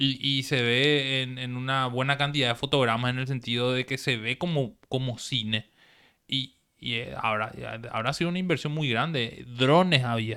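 The recording is very clean with a silent background as a man speaks at a moderate pace, his medium-pitched voice bright and sharp with fairly even intonation. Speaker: podcast host. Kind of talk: casual chat.

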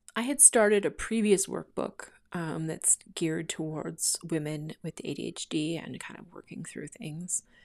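On a very clean recording with a silent background, a Canadian-accented voice with vocal fry moves at a fairly slow pace with hardly any pauses, big swings in loudness and ordinary pitch variation. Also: woman, fairly low pitch for a woman. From Canada. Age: 40s. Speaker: podcast host. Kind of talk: casual monologue. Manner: hesitant, many fillers; laughs often.

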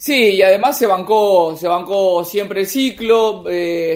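This man speaks in a high pitch. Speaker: football columnist. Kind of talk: casual chat.

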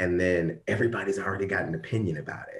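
Somewhat breathy and very deep, a man's low voice comes through with an American accent. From US Midwest, Ferguson, Missouri. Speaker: diversity and workplace ethics consultant. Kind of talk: interview.

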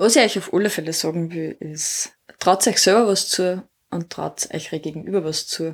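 A woman with a fairly low pitch speaks at a moderate pace, using ordinary pitch variation. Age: 30s. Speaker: social worker. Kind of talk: interview.

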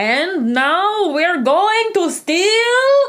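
In a put-on character voice with a Russian accent, the speaker talks at an extremely high pitch with very wide pitch swings. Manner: scheming, gleeful.

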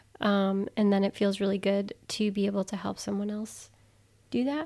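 A woman speaks at a moderate pace in a medium pitch. The recording is very clean, with a silent background. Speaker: podcast co-host. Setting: home podcast recording. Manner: soft-spoken.

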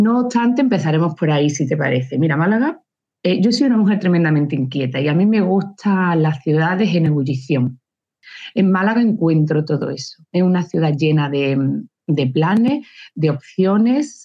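With an ordinary speaking voice, a woman talks at a moderate pace and a fairly low pitch, her loudness very even throughout. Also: lively intonation. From Andalusia, Córdoba. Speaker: engineer and teacher. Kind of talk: interview.

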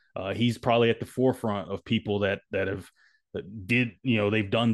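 Against a quiet background, a man with a normal speaking voice talks at a moderate pace and fairly low pitch with fairly even intonation. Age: 30s. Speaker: podcast co-host. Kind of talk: casual chat.

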